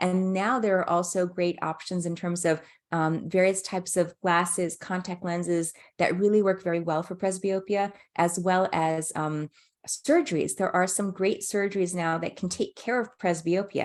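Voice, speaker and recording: A woman of medium pitch speaks with fairly even intonation. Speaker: ophthalmologist presenting a webinar. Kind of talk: webinar presentation. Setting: online webinar. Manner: fast; halting with fillers.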